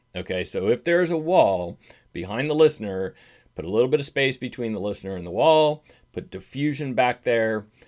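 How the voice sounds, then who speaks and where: A man's voice moves through very wide pitch swings and big swings in loudness. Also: medium pitch for a man, fairly quick pace. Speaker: audio gear YouTuber. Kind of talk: casual tutorial. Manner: halting, self-correcting; conversational.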